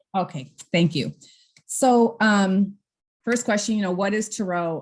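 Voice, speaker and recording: An ordinary speaking voice, a woman's, at a fairly slow pace with ordinary pitch variation. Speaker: workshop mentor; entrepreneur. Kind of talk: online workshop.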